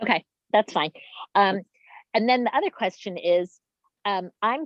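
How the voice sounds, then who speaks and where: A woman talks at a moderate pace in a plain, everyday voice. Her intonation is lively. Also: medium pitch for a woman. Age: 60s. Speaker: patient attendee asking questions. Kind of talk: Q&A at chapter meeting.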